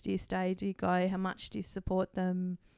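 Speaking with an Australian accent, a woman talks fairly quickly in a dark, mellow voice of medium pitch, the sound dry and close with no echo. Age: 40s. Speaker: counselling psychologist and outgoing podcast host. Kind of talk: personal testimony in interview. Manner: halting, frequent restarts and fillers; laughs often.

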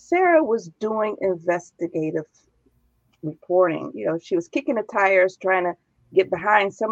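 A woman with an American accent and an ordinary speaking voice, medium in pitch with lively intonation, in a dry, close sound with no echo. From Chicago. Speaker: nonprofit founder and host. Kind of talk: interview. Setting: live stream.

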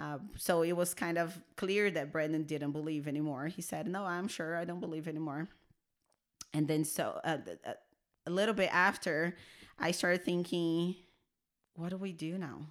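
On a very clean recording with a silent background, a woman with a Portuguese accent speaks at a moderate pace in a fairly low pitch, leaving long, frequent pauses. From Brazil. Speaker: church media worker sharing her personal story. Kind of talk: interview testimony.

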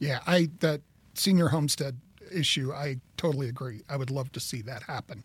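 A man with an American accent talks at a moderate pace in a fairly high, somewhat breathy voice with big swings in loudness. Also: ordinary pitch variation. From Kansas. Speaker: podcast host, marketing business owner. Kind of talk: interview.

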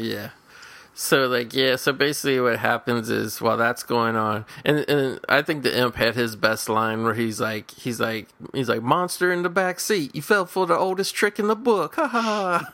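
His tone is bright and sharp, at a medium pitch for a man. He talks at a moderate pace with very wide pitch swings. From Indiana, US Midwest. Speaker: podcast host. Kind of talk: casual chat.

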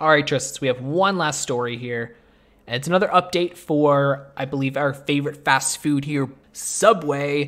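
A man with a plain, everyday voice speaks at a moderate pace, his pitch fairly high with ordinary variation. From Canada. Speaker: podcast host. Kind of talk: casual chat.

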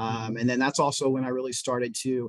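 Energetic in tone, a man with a Midwestern American accent talks at a very fast pace and medium pitch. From Indiana, US Midwest. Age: 20s. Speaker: local volunteer and city council candidate. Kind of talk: casual interview.

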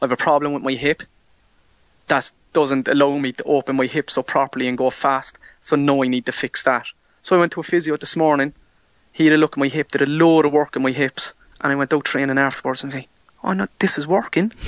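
A man with an Irish accent, very fast delivery and fairly even intonation. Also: fairly high pitch for a man. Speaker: hurdler. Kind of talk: interview.

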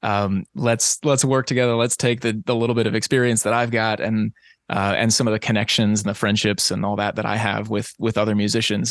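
A man with an American accent talks in an ordinary speaking voice, fairly low and at a fairly quick pace, with fairly even intonation and very even loudness. The sound is dry and close with no echo, against a quiet background. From US South, Eastern Tennessee. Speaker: singer-songwriter and high school teacher. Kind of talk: casual interview.

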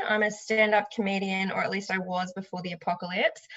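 A woman speaks with an Australian accent. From Sunshine Coast, Queensland, Australia. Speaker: stand-up comedian and podcaster. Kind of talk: casual interview chat.

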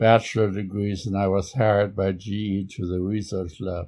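With a German accent, a man speaks at a moderate pace in a fairly low voice with fairly even intonation. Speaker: Holocaust survivor. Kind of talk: interview conversation. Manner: halting.

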